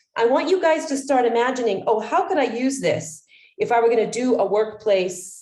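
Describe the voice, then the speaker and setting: A dark, mellow tone with very wide pitch swings comes through audible room echo. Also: woman. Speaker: wellness coach trainer. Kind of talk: online training session. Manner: fast.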